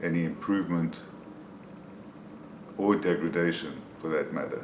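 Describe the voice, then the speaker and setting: A man with a very deep, low voice, monotone and flat, at a very slow pace, amid audible room echo and noticeable background noise. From South Africa. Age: 60s. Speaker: person with Parkinson's sharing experience. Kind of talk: personal video diary. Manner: hesitant, with frequent fillers.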